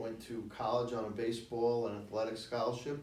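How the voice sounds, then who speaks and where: A man with a New York accent at medium pitch and moderate pace, amid noticeable background noise and audible room echo. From New York City (Washington Heights), Cuban-born. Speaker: city commissioner. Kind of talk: interview.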